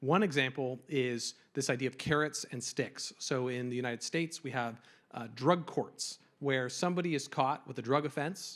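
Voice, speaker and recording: Recorded very cleanly against a silent background, a man speaks in a normal speaking voice at a moderate pace and medium pitch with ordinary pitch variation. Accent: American. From US, Colorado. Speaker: drug policy advocate. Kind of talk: panel discussion.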